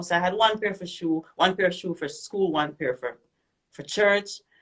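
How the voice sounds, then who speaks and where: In a Jamaican accent, a woman speaks at a fairly quick pace. Her fairly low voice keeps a fairly even intonation. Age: young. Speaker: reggae singer. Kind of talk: interview. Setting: radio and Instagram live.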